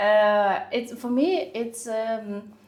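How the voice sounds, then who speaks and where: This is a woman speaking. She has a non-native accent. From Ukraine. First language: not English. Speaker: designer. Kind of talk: casual interview. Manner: halting.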